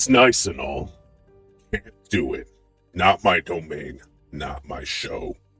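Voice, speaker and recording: In a put-on character voice, a man growls at a fairly slow pace with a very deep, low pitch and long, frequent pauses, while faint music plays in the background. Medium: actual play. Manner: curt, brusque.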